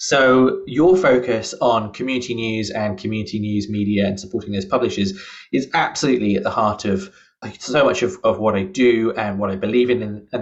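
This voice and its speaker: A man at medium pitch with a British accent, talking at a moderate pace. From UK. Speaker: journalism professor. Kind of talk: interview.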